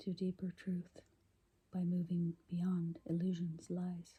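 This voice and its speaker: In a somewhat breathy whisper, a woman speaks. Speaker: poet reading her own poems. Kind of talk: ASMR poetry reading. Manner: whispered.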